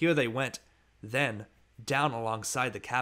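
Reading aloud in a natural voice, the speaker lets the pitch vary an ordinary amount.

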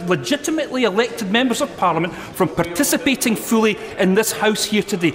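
Over light background noise, a man talks at a moderate pace with lively intonation. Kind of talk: parliamentary debate speech. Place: hall.

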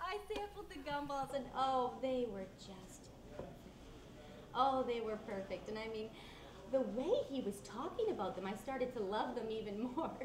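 There is noticeable background noise. A woman with a high pitch speaks at a moderate pace. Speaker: actor in a short film scene. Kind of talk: scripted storytelling dialogue. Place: cafe.

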